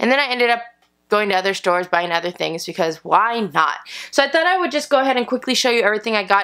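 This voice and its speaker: A woman with lively intonation and a bright, sharp tone over a quiet background. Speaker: haul vlogger. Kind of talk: casual vlog chat. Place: home room. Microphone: camera far.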